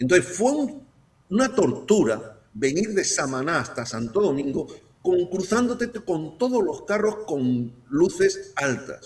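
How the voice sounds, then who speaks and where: The speaker moves through very wide pitch swings at a very slow pace. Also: man, high pitch for a man. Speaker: guest analyst. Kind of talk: talk show discussion. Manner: animated.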